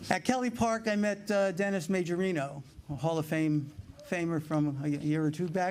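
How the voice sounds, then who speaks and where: This man speaks with a New York accent. His pitch is high, with ordinary pitch variation. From New York City (Brooklyn). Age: 70s. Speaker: paddleball player, hall of fame inductee. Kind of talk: acceptance speech. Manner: halting.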